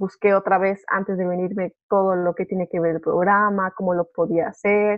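A woman speaks with a Mexican accent at a medium pitch. Her intonation stays fairly even. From Mexico. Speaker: au pair and master's student. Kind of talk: casual chat. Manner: halting, many repeated words.

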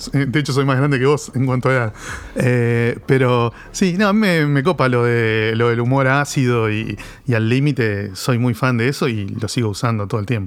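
A man talks at a medium pitch and a moderate pace. His loudness stays very even, and his pitch varies in an ordinary way. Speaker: comics expert. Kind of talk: casual chat. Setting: studio. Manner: halting.

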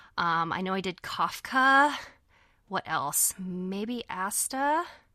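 Recorded very cleanly against a silent background, a woman with a Californian accent speaks at a medium pitch in a bright, sharp tone with ordinary pitch variation. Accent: General American (Californian). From California, near Yosemite. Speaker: voice actress. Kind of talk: casual chat.

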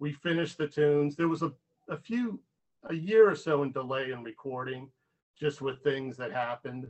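A man with a plain, everyday voice, fairly high-pitched, with an American accent, at a moderate pace. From Pittsburgh, Pennsylvania. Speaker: rock musician. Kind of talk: interview. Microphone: too quiet.

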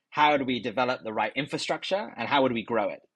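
This man's speech rushes along very fast. The intonation bounces with life. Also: quiet background. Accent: London. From London, England. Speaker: tech company executive. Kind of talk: interview.

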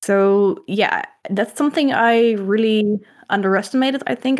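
A woman speaks with a Dutch accent at a medium pitch and ordinary pitch variation. The recording is very clean, with a silent background. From Netherlands. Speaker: comic artist. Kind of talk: casual interview. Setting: live stream.

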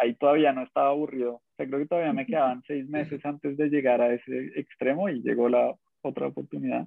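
A man's fairly high voice at a moderate pace. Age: 30s. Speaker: data analytics manager. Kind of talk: interview.

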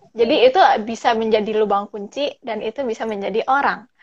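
A woman's plain, everyday voice, fairly high in pitch, at a fairly quick pace. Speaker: podcast host. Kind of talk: casual chat. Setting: video call. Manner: code-switches English often.

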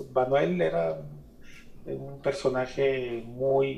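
A man is speaking. There is audible room echo. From Mexico, Guadalajara. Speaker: artist and curator. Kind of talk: radio interview.

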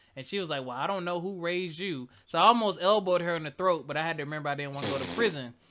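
Over noticeable background noise, a man with a high voice talks at a very fast pace with hardly any pauses and ordinary pitch variation. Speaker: podcast host. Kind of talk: casual chat.

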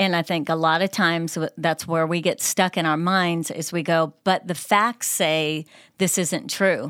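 In a normal speaking voice with an American accent, someone talks at a fairly slow pace with fairly even intonation, on a very clean recording with a silent background and a dry, close sound with no echo. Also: woman, fairly low pitch for a woman. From upstate New York. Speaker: associate pastor. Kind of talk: casual chat.

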